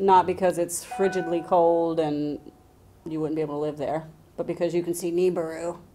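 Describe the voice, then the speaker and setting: Woman's voice, fairly low in pitch, with monotone, flat intonation at a moderate pace, over music in the background. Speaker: live stream co-host. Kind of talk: casual chat. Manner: loud.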